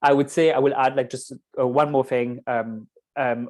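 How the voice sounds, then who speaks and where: Against a quiet background, a man with a Mauritian accent speaks at medium pitch and a moderate pace in a monotone, flat intonation. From Mauritius. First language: Mauritian Creole. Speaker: poet and performer. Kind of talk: panel discussion. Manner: halting.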